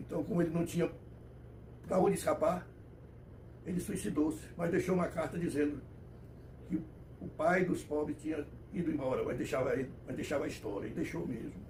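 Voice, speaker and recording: With audible room echo, a man with a fairly high pitch and vocal fry talks at a fairly quick pace, broken by long, frequent pauses. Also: ordinary pitch variation. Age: 90s. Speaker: elderly commentator on history. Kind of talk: personal history monologue. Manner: halting, self-correcting.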